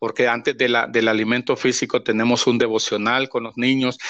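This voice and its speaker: Against a quiet background, a man talks at a medium pitch and moderate pace with monotone, flat intonation, the sound dry and close with no echo. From Honduras, El Paraíso department. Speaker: pastor. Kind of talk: interview testimony. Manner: halting, many repetitions.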